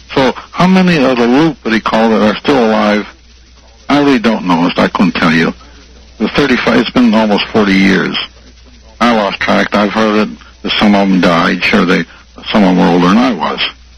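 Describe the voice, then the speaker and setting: Noticeable background noise surrounds a man with a fairly low pitch and lively intonation. He keeps a moderate pace but leaves long, frequent pauses. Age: 80s+. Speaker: retired army colonel. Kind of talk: phone interview testimony.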